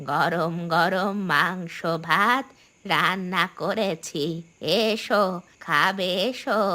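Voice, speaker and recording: A cartoonish character voice that sounds female speaks at a very slow pace and a medium pitch. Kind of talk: cartoon horror ghost voice.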